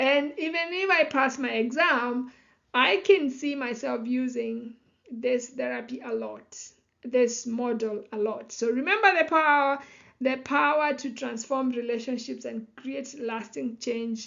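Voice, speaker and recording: The pace is fairly slow, and the pitch varies in an ordinary way. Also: woman, high pitch for a woman. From Kenya. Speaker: psychology educator and life coach. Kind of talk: lecture. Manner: many fillers (you know, um).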